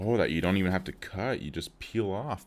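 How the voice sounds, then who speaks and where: A man speaks in a calm tone at a fairly slow pace. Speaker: tech unboxing YouTuber. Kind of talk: unboxing video, casual monologue. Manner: calm, low-key; casual with many fillers.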